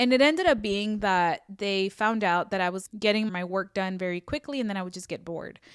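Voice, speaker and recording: A woman with a Spanish accent speaks fairly quickly at a medium pitch with ordinary pitch variation, in a very clean recording over a silent background. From US, Mexican-American family (moved from Mexico at two). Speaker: faith podcaster. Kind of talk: testimony. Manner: casual, conversational with self-corrections.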